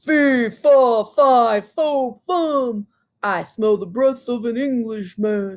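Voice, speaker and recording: In a put-on character voice, a female-sounding speaker talks at a very slow pace with a fairly high pitch. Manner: menacing, roaring.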